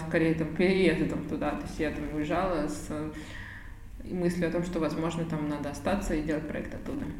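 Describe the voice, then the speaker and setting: Amid noticeable background noise and audible room echo, a woman talks at a fairly quick pace and fairly low pitch. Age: 30s. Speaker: charity project founder. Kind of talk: interview.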